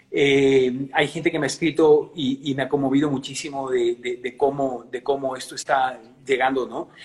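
Speech comes at a moderate pace with hardly any pauses and monotone, flat intonation. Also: man, fairly high pitch for a man. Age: 60s. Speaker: singer and musician. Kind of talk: interview.

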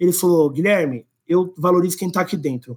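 A high-pitched male voice comes through on a very clean recording with a silent background. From Brazil, São Paulo city. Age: 30s. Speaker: employer branding specialist. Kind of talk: podcast interview.

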